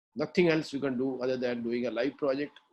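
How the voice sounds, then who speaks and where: This man has a normal speaking voice with a fairly high pitch. His pitch varies in an ordinary way. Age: 60s. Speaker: industry expert, educator. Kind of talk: webinar panel discussion.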